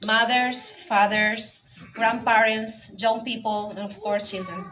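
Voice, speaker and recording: Amid noticeable background noise and audible room echo, a woman with a Spanish accent speaks fairly slowly in a fairly high pitch with monotone, flat intonation. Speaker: community organizer. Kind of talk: award acceptance speech.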